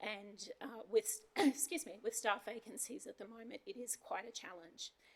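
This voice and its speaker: With an Australian accent, a woman keeps her speech at a moderate pace. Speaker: council manager. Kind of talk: formal report at council meeting.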